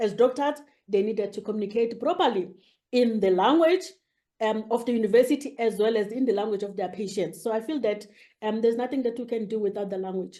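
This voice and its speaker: A woman with a South African accent, a fairly high pitch, a dark, mellow tone, ordinary pitch variation and a very fast pace. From South Africa, rural KwaZulu-Natal. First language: isiZulu. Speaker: academic, head of a university multilingualism unit. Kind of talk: interview. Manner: halting, many fillers.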